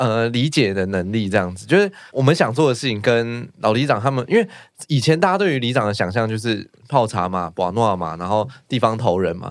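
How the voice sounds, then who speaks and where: A man talks at a fairly quick pace in a plain, everyday voice, medium in pitch with lively intonation. The recording is very clean, with a silent background. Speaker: village chief. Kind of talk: casual chat.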